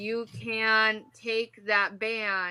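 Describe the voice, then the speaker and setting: A woman's bright, sharp tone in a very clean recording with a silent background. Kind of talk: interview. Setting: live video stream. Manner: loud.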